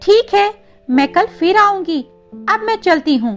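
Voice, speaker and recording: Over faint background music, a woman puts on a squeaky, cartoonish character voice at an extremely high pitch, speaking at a moderate pace. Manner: sweet, gentle.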